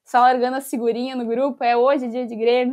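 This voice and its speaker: A woman talks at a fairly quick pace with fairly even intonation in a normal speaking voice. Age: 20s. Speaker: football club fan ambassador. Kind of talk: casual interview.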